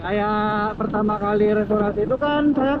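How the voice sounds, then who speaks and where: Loud and very slow, a man speaks amid noticeable background noise and audible room echo. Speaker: motovlogger. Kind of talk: casual vlog narration while riding. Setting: riding a motorcycle outdoors. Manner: speaking somewhat loud.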